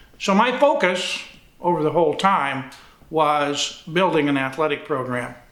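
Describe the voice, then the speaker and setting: Against noticeable background noise and audible room echo, a man speaks at a fairly slow pace. His pitch is fairly high, with ordinary pitch variation. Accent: Midwestern US. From northern Indiana. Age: 70s. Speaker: retired athletic director. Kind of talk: oral history interview. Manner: halting, with fillers.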